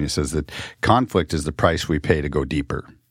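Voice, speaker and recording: A voice with vocal fry, speaking at a moderate pace. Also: man. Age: 50s. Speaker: podcast host. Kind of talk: interview. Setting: radio studio.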